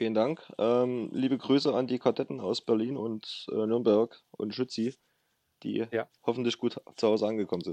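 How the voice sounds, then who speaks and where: An unremarkable speaking voice at a moderate pace, with fairly even intonation and a dry, close sound with no echo. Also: man, medium pitch for a man. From Saxony, near Chemnitz. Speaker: para ice hockey national player. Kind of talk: interview.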